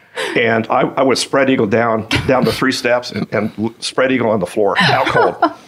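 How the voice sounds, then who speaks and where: Over noticeable background noise, a man with a medium pitch speaks at a moderate pace, keeping very even loudness and fairly even intonation. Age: 60s. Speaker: retired commodities trader. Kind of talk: casual interview. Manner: halting with many repetitions.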